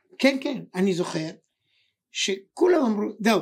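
A man is speaking. His pace is fairly slow. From Israel, Ashkelon. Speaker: podcast co-host. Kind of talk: casual chat. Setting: studio. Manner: excitable.

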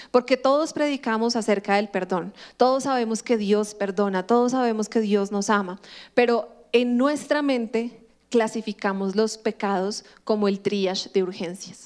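A woman's ordinary speaking voice, fairly high-pitched, with ordinary pitch variation and a fairly slow pace. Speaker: pastor. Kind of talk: sermon.

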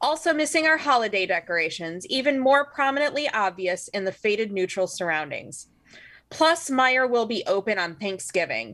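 With an American accent, a woman speaks in a bright, sharp tone at a fairly high pitch with very wide pitch swings, at a moderate pace, on a very clean recording with a silent background. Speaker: podcast co-host. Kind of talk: casual comedic banter about weird news.

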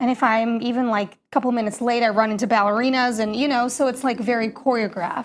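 Very fast, flat, monotone speech from a woman with a fairly high pitch and hardly any pauses. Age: 30s. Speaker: opera singer and Broadway performer. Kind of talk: interview. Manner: casual, many fillers.

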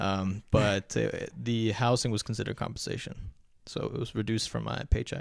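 Recorded very cleanly against a silent background, a man with an American accent and a fairly low pitch speaks at a fairly quick pace with fairly even intonation and vocal fry. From US, first-generation Afghan American. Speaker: podcast guest. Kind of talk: casual chat.

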